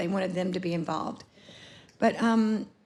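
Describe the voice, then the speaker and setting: Somewhat breathy, a woman with an American accent speaks at a fairly quick pace with fairly even intonation. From US South, Atlanta, Georgia. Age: 60s. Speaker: photographer. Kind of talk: conference talk presenting work. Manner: halting, many fillers.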